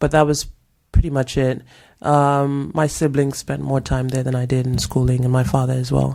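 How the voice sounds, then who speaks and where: A woman speaks in a very deep, low voice with a dark, mellow tone. Her delivery is monotone and flat, at a moderate pace. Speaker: actress. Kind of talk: casual chat.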